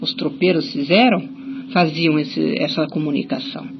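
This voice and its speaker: Her pitch is fairly low and swings very widely. A woman speaks over noticeable background noise. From Curitiba, Brazil. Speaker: writer and folklorist. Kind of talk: radio interview answer.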